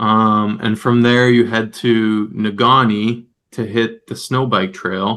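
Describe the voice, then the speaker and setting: Over a quiet background, a man at medium pitch speaks at a very slow pace in a bright, sharp tone with monotone, flat intonation. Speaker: fat bike ultra racer. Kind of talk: casual chat.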